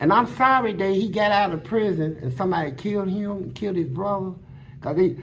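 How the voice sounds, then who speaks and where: A man's animated, high-pitched voice at a moderate pace, with audible room echo. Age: 60s. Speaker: former prisoner telling his life story. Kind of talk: storytelling interview.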